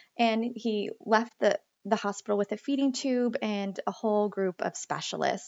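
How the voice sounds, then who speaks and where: An ordinary speaking voice from a woman with an American accent, fairly high in pitch, with fairly even intonation and a moderate pace. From western Pennsylvania. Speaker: plant-based mother and humane educator. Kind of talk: interview.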